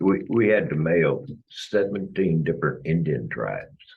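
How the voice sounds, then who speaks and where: A man speaks fairly slowly with vocal fry. His intonation is lively. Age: 70s. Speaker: city official. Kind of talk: public meeting. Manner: halting.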